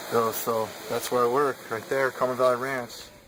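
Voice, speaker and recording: Speaking with an American accent, a man at medium pitch talks fairly quickly in a monotone, flat way. Noticeable background noise runs underneath. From California, US. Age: 30s. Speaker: bass fisherman. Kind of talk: audition video monologue. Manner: casual, halting with repetitions.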